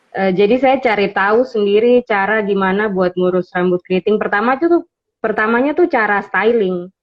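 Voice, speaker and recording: A woman with a plain, everyday voice speaks at a moderate pace and medium pitch, with ordinary pitch variation, very even loudness and hardly any pauses. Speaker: beauty content creator. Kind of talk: interview on livestream. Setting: Instagram live.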